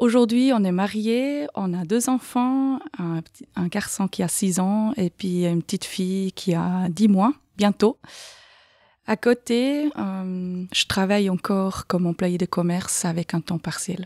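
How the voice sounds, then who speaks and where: A woman with a slight Swiss German accent talks at a very slow pace, her medium-pitched voice dark and mellow in tone with ordinary pitch variation, in a dry, close sound with no echo on a very clean recording with a silent background. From Switzerland, canton of Aargau. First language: Swiss German (speaking French). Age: 40s. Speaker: patient sharing experience. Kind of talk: podcast interview. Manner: hesitant, many fillers.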